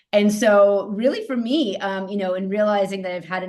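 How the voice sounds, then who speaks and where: Audible room echo surrounds a woman speaking at a moderate pace in a medium pitch. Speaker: psychotherapist and nurse. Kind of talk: interview conversation. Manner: loud.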